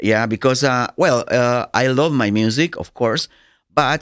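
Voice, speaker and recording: On a very clean recording with a silent background and a dry, close sound with no echo, a man with a Nicaraguan accent speaks at a moderate pace and medium pitch with ordinary pitch variation. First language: Spanish. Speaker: dancer and DJ. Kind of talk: interview. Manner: animated; halting.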